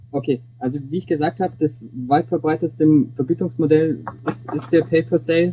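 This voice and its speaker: Ordinary pitch variation in a man's fairly high-pitched, fairly quick speech. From Augsburg, Bavaria (Swabia), Germany. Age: 20s. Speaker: student and intern. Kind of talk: interview. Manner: halting, frequent repetitions.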